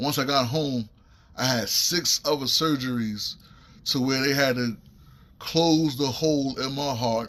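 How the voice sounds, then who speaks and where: In an American accent, a man talks with fairly even intonation. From US Northeast, Brooklyn, New York. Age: 40s. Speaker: stroke survivor. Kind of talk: testimony. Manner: halting.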